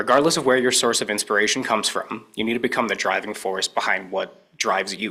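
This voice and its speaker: This man speaks at a fairly quick pace with a medium pitch and fairly even intonation. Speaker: graduating student speaker. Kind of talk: ceremony speech. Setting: small room with audience. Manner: loud.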